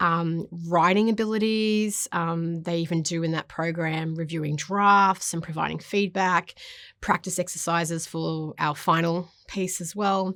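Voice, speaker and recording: A woman speaks with a fairly low pitch and an Australian accent. The recording is very clean with a silent background. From Papua New Guinea and Solomon Islands. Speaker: university lecturer. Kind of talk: interview talk about teaching. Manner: fast when excited.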